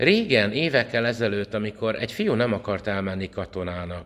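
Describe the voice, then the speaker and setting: A man's fairly low voice proceeds at a moderate pace. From Hungary. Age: 40s. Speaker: priest and vlogger; priest, vlogger. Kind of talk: opinion vlog monologue. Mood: indignant, earnest. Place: home room. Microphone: phone near.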